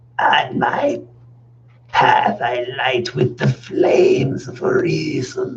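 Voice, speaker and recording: The put-on character voice unfolds at a very slow pace. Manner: menacing.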